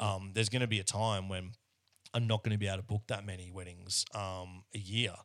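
A fairly low-pitched man with an Australian accent, flat monotone intonation, and a very clean recording over a silent background. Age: 30s. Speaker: wedding photographer. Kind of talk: casual interview chat. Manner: repetitive stammering starts.

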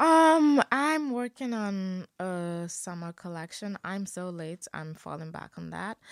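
A woman speaks at a very slow pace and medium pitch, with hardly any pauses. Her voice has very wide pitch swings and big swings in loudness, in a very clean recording over a silent background. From Nigeria (Ogun State, Yoruba). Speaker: university student and fashion designer. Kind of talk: casual interview.

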